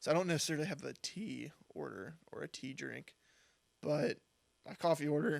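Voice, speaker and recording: Speaking at a moderate pace, a man leaves long, frequent pauses, his loudness swinging widely. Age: 20s. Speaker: college student podcast co-host. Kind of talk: casual chat. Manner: hesitant, filler-heavy.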